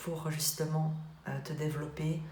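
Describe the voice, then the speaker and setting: Speaking at a fairly slow pace, a woman has a very deep, low pitch. Audible room echo and noticeable background noise fill the recording. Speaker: tarot card reader. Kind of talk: tarot reading. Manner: halting, many filler sounds.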